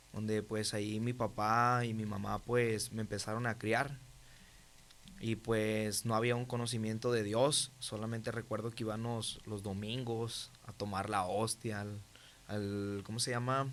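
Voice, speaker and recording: At a fairly slow pace, a man speaks at medium pitch with monotone, flat intonation. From Mexico, Monterrey (Nuevo León). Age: 20s. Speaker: testimony guest. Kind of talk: testimony. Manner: halting, many fillers.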